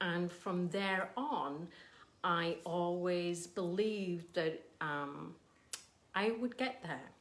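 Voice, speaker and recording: A woman with an English accent speaks at a very slow pace, her pitch fairly low with ordinary variation. Long, frequent pauses break up her speech. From England. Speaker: painter. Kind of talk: casual livestream chat. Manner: hesitant, many ums.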